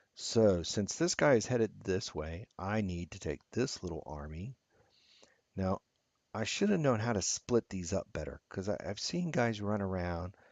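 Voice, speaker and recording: Man's voice of fairly low pitch with big swings in loudness. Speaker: gaming video creator. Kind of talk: gameplay commentary. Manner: halting, many fillers.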